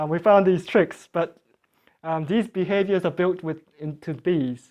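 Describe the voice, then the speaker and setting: Speech comes at a moderate pace with a Korean accent. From South Korea. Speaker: beekeeping class teacher. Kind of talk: lecture. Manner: halting.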